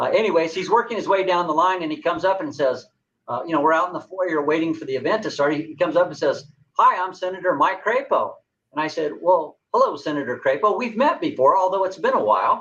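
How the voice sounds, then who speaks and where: A man with a Southwest US accent, high-pitched, with ordinary pitch variation and a very fast pace. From New Mexico. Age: 60s. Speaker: political candidate. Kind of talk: interview.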